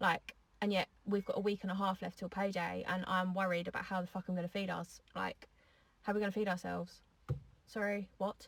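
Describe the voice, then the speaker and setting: A somewhat breathy, monotone delivery with flat intonation at a moderate pace. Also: woman. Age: 20s. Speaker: social media poster. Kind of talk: angry rant.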